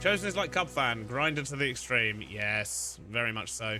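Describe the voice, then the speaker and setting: With lively intonation and medium pitch, a man talks over noticeable background noise. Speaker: Minecraft streamer. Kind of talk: casual livestream chat while gaming.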